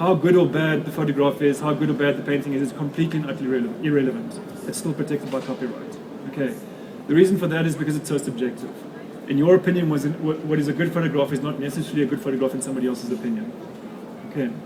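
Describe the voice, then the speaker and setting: A man with a South African accent talks at a very fast pace in a fairly high pitch. Noticeable background noise and audible room echo come through. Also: ordinary pitch variation. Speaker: photographer and author giving a talk. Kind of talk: lecture. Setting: stage with audience at an expo.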